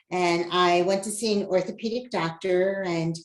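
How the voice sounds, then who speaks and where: A woman with an American accent and an ordinary speaking voice, medium in pitch, her intonation fairly even. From New Jersey. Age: 60s. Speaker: patient advocate and educator. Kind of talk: podcast interview.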